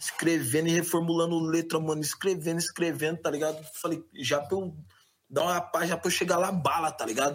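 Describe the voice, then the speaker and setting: Speaking fairly quickly, a man keeps a high pitch and monotone, flat intonation. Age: 20s. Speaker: rapper. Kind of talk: casual chat.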